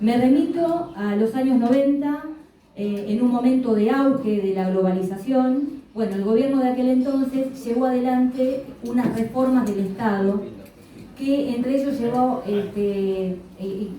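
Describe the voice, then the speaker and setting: A woman speaks at a fairly high pitch with ordinary pitch variation. The room echoes audibly, and background noise is noticeable. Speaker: trade union representative. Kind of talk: conference talk. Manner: fast; hesitant, many fillers.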